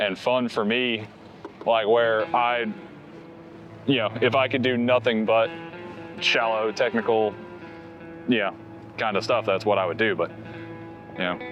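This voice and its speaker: A man with a Southern US accent speaks at a moderate pace and a fairly low pitch, his tone relaxed and his intonation fairly even. He leaves long, frequent pauses while music plays in the background. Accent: Southern American. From North Carolina. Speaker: fishing guide. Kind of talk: documentary interview answer. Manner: casual, relaxed.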